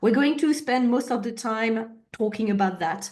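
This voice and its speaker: A woman speaks at a moderate pace with a French accent. Audible room echo colors the recording. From France. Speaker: agile consultant / trainer. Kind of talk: webinar presentation. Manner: hesitant fillers.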